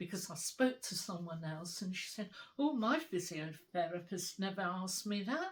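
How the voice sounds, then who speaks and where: Speaking in a British accent, a somewhat breathy woman at medium pitch keeps a moderate pace with ordinary pitch variation. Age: 80s+. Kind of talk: interview answer. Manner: conversational, hesitant.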